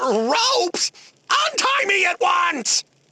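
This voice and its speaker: A man puts on a character voice at extremely high pitch. His pitch swings very widely. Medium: fan dub. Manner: shouting, frantic.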